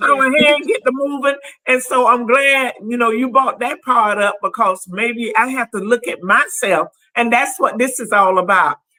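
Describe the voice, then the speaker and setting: A woman's high, bright, sharp voice at a moderate pace with ordinary pitch variation. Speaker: talk show host. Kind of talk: casual chat. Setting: studio. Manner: loud when adamant.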